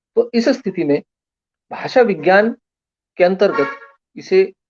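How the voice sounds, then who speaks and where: A man with a Marathi accent is recorded with a dry, close sound that has no echo. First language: Marathi (speaking Hindi). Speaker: lecturer. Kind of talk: lecture. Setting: online live stream.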